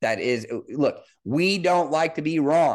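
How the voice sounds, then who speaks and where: An unremarkable speaking voice with an American accent moves at a moderate pace with ordinary pitch variation over a quiet background. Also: man. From Missouri, Kansas City area. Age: 30s. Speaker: football coach and podcast host. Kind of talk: solo sports analysis podcast.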